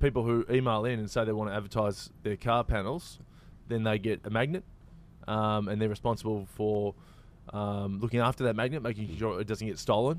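A man with an Australian accent, fairly low in pitch, at a fairly quick pace and with fairly even intonation. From Australia, Victoria. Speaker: actor and comedian. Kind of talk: casual chat.

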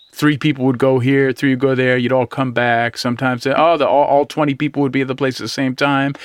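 Over noticeable background noise, a man with an American accent talks at a very fast pace in a flat monotone, with very even loudness and hardly any pauses. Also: medium pitch for a man. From US West Coast, East Bay. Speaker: guitarist. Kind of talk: casual interview chat.

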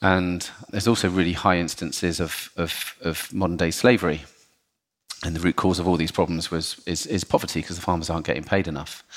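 A man with a very deep, low pitch, fairly even intonation and a fairly quick pace. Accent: southern English. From southern England, Portsmouth. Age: 40s. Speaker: chocolate company executive. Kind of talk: podcast interview. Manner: halting, repeats words.

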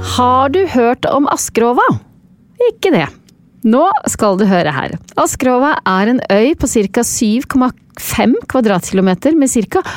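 A woman speaks very slowly in a high pitch with very wide pitch swings. Her loudness stays very even. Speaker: podcast host. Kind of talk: scripted narration.

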